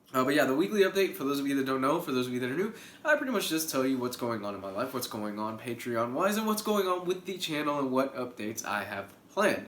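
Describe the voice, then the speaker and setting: With noticeable background noise and audible room echo, a man with a fairly high pitch speaks at a very fast pace with lively intonation. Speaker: YouTuber. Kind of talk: casual vlog update.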